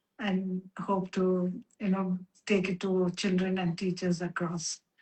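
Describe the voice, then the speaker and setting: Somewhat breathy and at a medium pitch, a woman speaks at a fairly slow pace in a monotone, flat intonation, with very even loudness. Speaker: Montessori educator. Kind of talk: casual chat. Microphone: audio too quiet.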